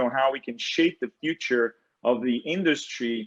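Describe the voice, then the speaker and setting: A man with a Portuguese accent at a moderate pace. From Brazil. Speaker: tech industry executive, panelist. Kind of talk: panel discussion introduction. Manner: halting, many fillers.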